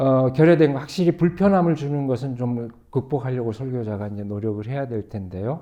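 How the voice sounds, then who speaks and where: With a dark, mellow tone, a man talks at medium pitch with hardly any pauses. His intonation is lively. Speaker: pastor. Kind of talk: panel discussion. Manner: slow.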